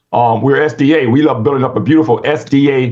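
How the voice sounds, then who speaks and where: His voice is somewhat breathy. The man keeps a fairly even intonation. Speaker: Adventist speaker on rural living. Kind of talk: presentation. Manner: fast; halting.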